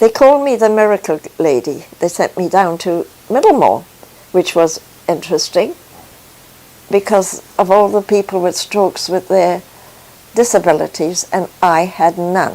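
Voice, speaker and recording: Over noticeable background noise, a woman at a medium pitch speaks at a moderate pace with ordinary pitch variation and long, frequent pauses. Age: 80s+. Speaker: faith testimony speaker. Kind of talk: testimony. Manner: halting.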